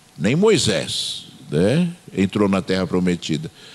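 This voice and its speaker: A man talks with very wide pitch swings over noticeable background noise. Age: 60s. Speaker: pastor. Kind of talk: sermon. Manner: hesitant, frequent fillers.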